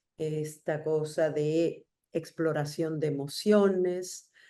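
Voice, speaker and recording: Speaking at a very slow pace, a woman uses a very deep, low pitch with fairly even intonation and a dark, mellow tone. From Argentina, raised in Mexico from childhood. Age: 60s. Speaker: writer. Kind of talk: interview.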